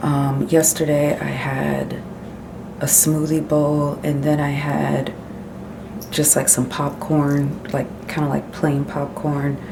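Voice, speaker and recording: Whispering at a very slow pace, a woman is heard through audible room echo and noticeable background noise. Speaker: lifestyle vlogger. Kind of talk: casual vlog.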